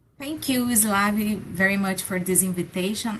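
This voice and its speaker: Delivered fairly slowly, the speech shows ordinary variation in pitch. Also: woman. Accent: Brazilian Portuguese. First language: Portuguese. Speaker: professor. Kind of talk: presentation. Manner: halting.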